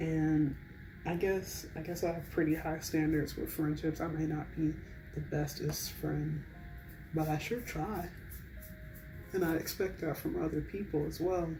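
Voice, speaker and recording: A woman at a fairly slow pace, with long, frequent pauses and music in the background. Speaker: college student. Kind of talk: casual chit chat to camera, ASMR. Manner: soft-spoken, whispery, relaxed.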